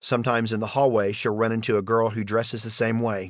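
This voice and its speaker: With a slight Southern US accent, a man speaks at a fairly quick pace in a medium pitch. His intonation is monotone and flat, over a quiet background. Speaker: audiobook narrator, school principal. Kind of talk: audiobook reading of a memoir.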